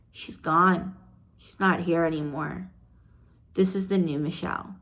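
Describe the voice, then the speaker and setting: Monotone, flat intonation at a fairly slow pace, with audible room echo. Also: woman, fairly low pitch for a woman. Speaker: personal vlogger sharing abuse survival story. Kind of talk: personal testimony. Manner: unedited, halting in places.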